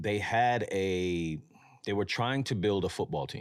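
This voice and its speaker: A man speaks in a New York accent with ordinary pitch variation. The recording is very clean, with a silent background. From New York, Mount Vernon. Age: 30s. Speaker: streetwear brand founder. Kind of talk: podcast interview. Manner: casual.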